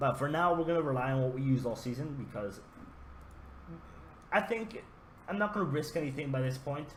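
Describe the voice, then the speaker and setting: Somewhat breathy and fairly high-pitched, a man talks at a fairly quick pace with lively intonation and long, frequent pauses, with audible room echo around him. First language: not English. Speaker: gaming YouTuber. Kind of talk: gameplay commentary. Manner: casual, hesitant with fillers.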